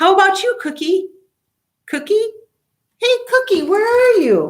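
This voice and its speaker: A woman puts on a squeaky character voice at an extremely high pitch, speaking at a fairly slow pace with lively intonation. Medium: read story.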